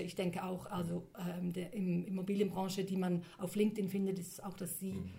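Moderate pace over noticeable background noise. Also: woman. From Switzerland. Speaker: linguist and copywriter. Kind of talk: interview.

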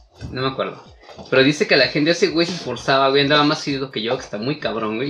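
Amid noticeable background noise, a man talks with ordinary pitch variation. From Mexico. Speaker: podcast co-host. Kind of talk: casual chat. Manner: animated.

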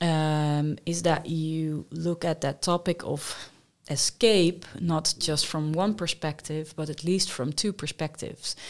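In a Dutch accent, the speaker goes at a fairly slow pace with fairly even intonation. The recording is very clean, with a silent background. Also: woman. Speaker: humanist workshop leader. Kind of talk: interview.

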